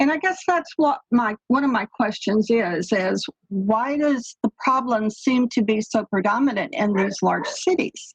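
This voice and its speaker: With a slight Texas accent, the speaker talks at a fairly slow pace with hardly any pauses, lively intonation and very even loudness, in a dry, close recording with no echo. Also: woman, high pitch for a woman. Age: 70s. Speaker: caller. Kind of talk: panel discussion.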